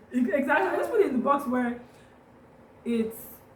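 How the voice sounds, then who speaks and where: There is noticeable background noise and audible room echo. The speaker uses ordinary pitch variation. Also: woman. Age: 20s. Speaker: lifestyle vlogger. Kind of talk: casual chat.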